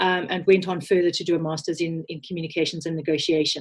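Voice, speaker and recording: The speaker has a South African accent and sounds somewhat breathy. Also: woman. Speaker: communications leader, former diplomat. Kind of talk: interview. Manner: hesitant, many filler words.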